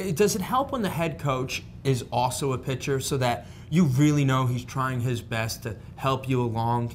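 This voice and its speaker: A man with a New England accent speaks at a moderate pace and medium pitch, with audible room echo. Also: ordinary pitch variation. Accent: Yankee. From northern US. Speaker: sports show host. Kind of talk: sports interview.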